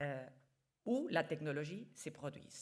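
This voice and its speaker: The woman's intonation is lively. She talks at a very slow pace. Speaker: international organization official. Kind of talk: conference talk.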